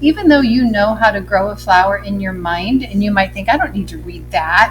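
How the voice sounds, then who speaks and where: Music plays in the background as a woman speaks. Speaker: first grade teacher. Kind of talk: tutorial. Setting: recorded lesson video. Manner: slow spelling out letters.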